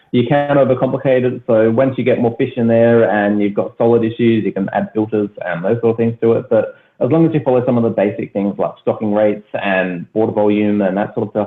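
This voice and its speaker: A man's medium-pitched voice in an Australian accent, fairly quick, with ordinary pitch variation. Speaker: aquaponics youtuber. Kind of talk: podcast interview. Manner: fast.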